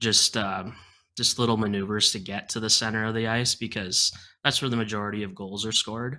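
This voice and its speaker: His voice is fairly low in pitch with a bright, sharp tone, and this man keeps a monotone, flat intonation. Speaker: hockey prospects analyst. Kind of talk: casual interview chat. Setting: video call.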